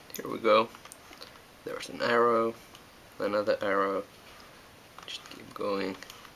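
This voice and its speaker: The speech moves at a fairly slow pace with long, frequent pauses. Noticeable background noise runs underneath. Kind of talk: casual how-to demonstration.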